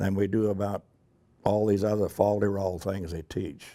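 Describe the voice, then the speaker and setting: A man speaks at a fairly slow pace with a dark, mellow tone and fairly low pitch. The recording is very clean, with a silent background. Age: 90s. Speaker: war veteran. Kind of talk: interview. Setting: airport event. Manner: halting.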